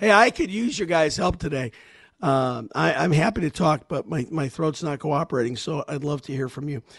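Putting on a character voice, a man speaks at a moderate pace with a fairly high pitch, a hoarse, raspy sound and lively intonation.

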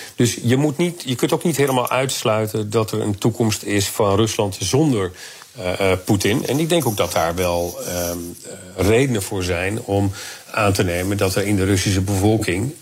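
Over noticeable background noise, a man with a fairly low pitch talks at a moderate pace using lively intonation. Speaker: security policy analyst. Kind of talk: radio interview.

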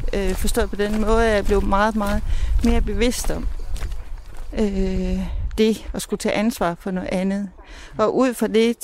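The delivery moves at a fairly slow pace. Its intonation stays fairly even. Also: woman. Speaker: mother of the host. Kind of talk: interview. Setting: outdoors.

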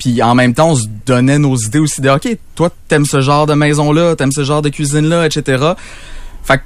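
This man speaks with a Quebec accent. His voice sits at a fairly high pitch. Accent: Québécois French. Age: 20s. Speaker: weekend radio host. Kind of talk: interview.

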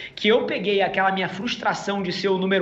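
A man talks at a very fast pace in a high voice. The recording has audible room echo and noticeable background noise. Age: 30s. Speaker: entrepreneur. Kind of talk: interview.

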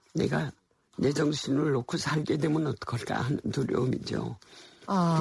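A woman with a very deep, low pitch and a dark, mellow tone speaks with ordinary pitch variation and vocal fry. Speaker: literary museum director. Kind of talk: interview. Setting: studio.

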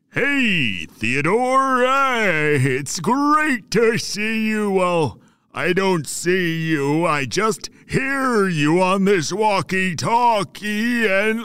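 Put-on character voice from a man, high-pitched and very slow, in a very clean recording with a silent background. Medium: read story. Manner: rambling, genteel, unhurried.

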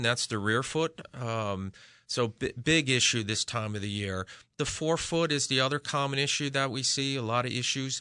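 Against a quiet background, a man with a normal speaking voice talks at a moderate pace with lively intonation. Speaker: podiatrist. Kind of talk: radio interview.

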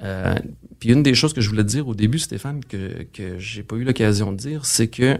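A man speaks with a Quebec accent and ordinary pitch variation. The recording is very clean, with a silent background. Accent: Québécois French. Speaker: financial strategist. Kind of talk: interview.

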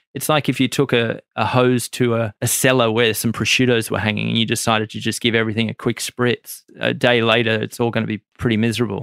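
A man with an Australian accent rattles along very fast with hardly any pauses, his medium-pitched voice monotone and flat with vocal fry. The recording is very clean with a silent background and a dry, close sound with no echo. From Australia, Maitland NSW. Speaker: chef and restaurant owner. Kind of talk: interview. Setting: studio.

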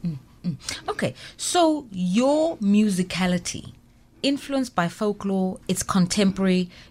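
Her voice somewhat breathy, a woman speaks at a medium pitch with lively intonation on a very clean recording with a silent background. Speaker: radio host. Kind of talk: interview chat. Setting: studio.

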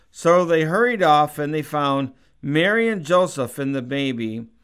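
On a very clean recording with a silent background, a man talks at a fairly slow pace. He has an unremarkable speaking voice, fairly high in pitch with ordinary pitch variation. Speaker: pastor. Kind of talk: radio sermon; christmas scripture reading, solemn and measured. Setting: radio studio broadcast. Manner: slow, reverent, steady reading cadence; warm, sincere, conversational.

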